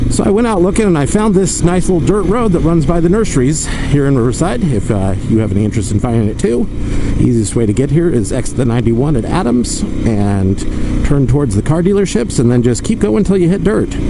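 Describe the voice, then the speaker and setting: Over noticeable background noise and audible room echo, a man talks at a very fast pace and fairly high pitch. His pitch swings very widely while his loudness stays very even. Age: middle-aged. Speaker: motorcycle vlogger. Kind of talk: casual ride narration.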